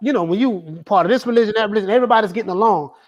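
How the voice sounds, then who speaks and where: A man talks with a Southern accent. His intonation is lively. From Florida, US South. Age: 40s. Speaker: boxing YouTuber. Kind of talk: casual chat.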